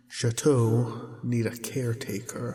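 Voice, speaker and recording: Putting on a gruff character voice, a man speaks fairly slowly in a flat monotone at medium pitch. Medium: audio drama. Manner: gruff, scornful, archaic pirate speech.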